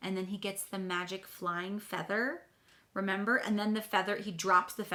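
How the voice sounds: Here a natural reading voice can be heard.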